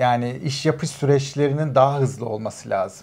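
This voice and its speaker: Keeping to a moderate pace, a man is talking. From Turkey. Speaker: immigrant professional; interview guest. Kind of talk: casual chat. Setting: at home. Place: studio. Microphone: lapel.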